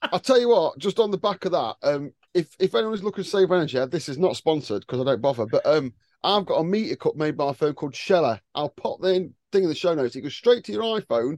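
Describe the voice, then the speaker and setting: Speaking very fast with very wide pitch swings, a man with a high voice is heard in a dry, close recording with no echo. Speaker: podcast host. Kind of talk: casual chat.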